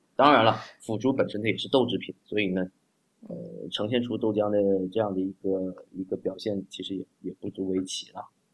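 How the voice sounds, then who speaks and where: A man with a plain, everyday voice, fairly low pitch and ordinary pitch variation, at a moderate pace, in a dry, close sound with no echo. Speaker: doctor and congee enthusiast. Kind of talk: casual chat.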